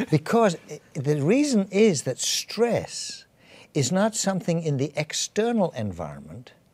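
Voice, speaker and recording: Here a man with an English accent speaks at a fairly slow pace. His high pitch swings very widely. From England. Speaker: physician. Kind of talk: interview. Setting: studio. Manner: halting.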